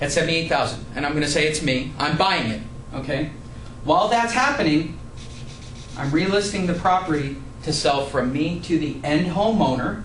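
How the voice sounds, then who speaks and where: With noticeable background noise and audible room echo, a man talks at a fairly high pitch with ordinary pitch variation and long, frequent pauses. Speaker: real estate investor and educator. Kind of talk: tutorial. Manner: fast.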